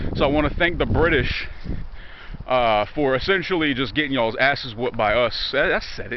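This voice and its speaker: Speaking at a moderate pace, a man uses lively intonation with a fairly high pitch. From Virginia, US. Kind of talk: casual talk to camera. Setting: outdoors. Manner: profane, joking.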